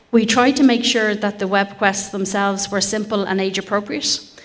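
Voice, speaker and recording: With an Irish accent, this voice carries audible room echo and fairly even intonation. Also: woman. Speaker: project partner researcher. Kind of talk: conference presentation. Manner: hesitant fillers (um).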